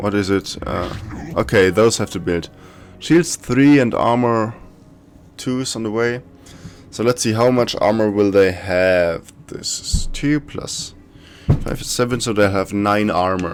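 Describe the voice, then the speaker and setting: With long, frequent pauses, a man with a German accent speaks at fairly low pitch with ordinary pitch variation. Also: fairly slow pace. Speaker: gaming YouTuber. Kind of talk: gameplay commentary. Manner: casual, thinking aloud.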